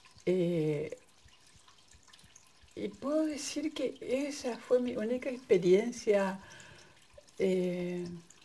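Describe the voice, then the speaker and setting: A woman speaks very slowly in a Paraguayan accent, with long, frequent pauses. Her high voice has a dark, mellow tone and very wide pitch swings. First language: Guarani (speaking Spanish). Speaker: migrant sharing personal experience. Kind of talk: personal testimony. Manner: halting.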